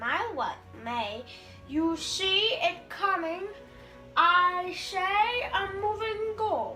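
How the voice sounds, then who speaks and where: Over clear background music, a woman uses a put-on character voice at a very slow pace. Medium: stage play.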